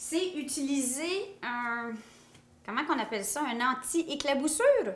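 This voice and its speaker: A woman speaks in a high pitch with lively intonation amid noticeable background noise. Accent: Quebec. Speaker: cooking youtuber. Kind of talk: cooking tutorial. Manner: casual, chatty.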